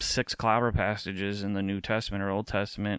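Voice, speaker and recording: In an American accent, a man talks at a moderate pace. The recording is very clean, with a silent background. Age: 30s. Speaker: podcast host and speaker on faith. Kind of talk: talk to small community group. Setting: at home in his apartment.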